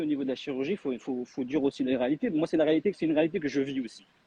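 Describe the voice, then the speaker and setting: The delivery moves at a very fast pace. Its intonation is lively. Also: man. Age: 40s. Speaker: weight loss testimony guest. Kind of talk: live video chat.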